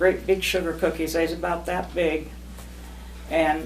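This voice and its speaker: A woman's voice over noticeable background noise. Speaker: great-grandmother. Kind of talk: family reminiscence.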